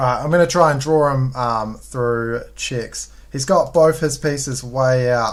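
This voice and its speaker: With a New Zealand accent, a man speaks at a fairly slow pace with hardly any pauses and ordinary pitch variation. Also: medium pitch for a man. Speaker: chess streamer. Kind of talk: live game commentary. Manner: casual, hesitant with fillers.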